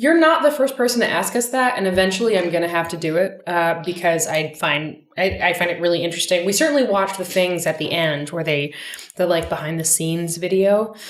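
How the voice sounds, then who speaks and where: Audible room echo surrounds a woman speaking at fairly low pitch and a fairly quick pace with ordinary pitch variation. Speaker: podcast co-host. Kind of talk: casual chat. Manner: loud.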